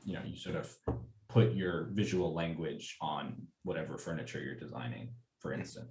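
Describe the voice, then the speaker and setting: Pausing often and at length, a man with a very deep, low pitch and vocal fry speaks at a moderate pace amid audible room echo. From US Southwest, Albuquerque, New Mexico. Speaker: design student. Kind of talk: casual chat. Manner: hesitant, many fillers.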